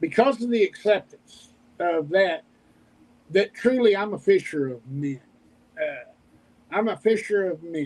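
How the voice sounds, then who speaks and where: With an Oklahoma accent, a man talks at a fairly slow pace in a high voice, his intonation lively and his pauses long and frequent. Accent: Oklahoma Southern US. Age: 50s. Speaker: homesteader and YouTuber. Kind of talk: casual chat. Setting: livestream video call. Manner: halting.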